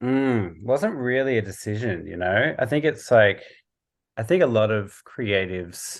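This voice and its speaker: A man with an Australian accent, medium pitch and lively intonation, at a fairly slow pace against a quiet background. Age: 30s. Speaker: visual artist and podcaster. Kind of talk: casual interview chat. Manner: halting, many fillers.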